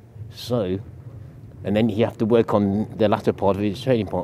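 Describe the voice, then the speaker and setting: At a moderate pace and fairly low pitch, a man talks with fairly even intonation against noticeable background noise. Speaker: athletics coach. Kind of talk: interview. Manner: loud.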